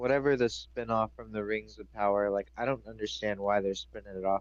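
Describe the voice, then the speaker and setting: A man speaks at a fairly quick pace with a fairly low pitch. His loudness swings a lot. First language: French. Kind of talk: casual chat.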